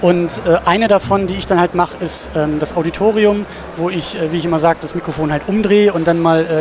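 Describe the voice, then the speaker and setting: A man speaks at a very fast pace. His voice is high-pitched, with noticeable background noise behind it. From northern Germany, Husum (Schleswig-Holstein). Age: 20s. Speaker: student and film podcaster. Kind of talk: interview.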